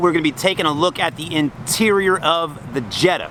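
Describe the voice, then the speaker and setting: A man speaks in a high pitch with ordinary pitch variation. Noticeable background noise runs underneath. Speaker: car reviewer. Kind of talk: product review walkaround. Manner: casual.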